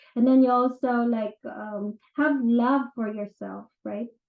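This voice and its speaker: A woman with a Filipino accent, high in pitch, with fairly even intonation. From Philippines. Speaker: real estate agent and NLP practitioner. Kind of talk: casual talk / informal lecture. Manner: conversational with frequent fillers.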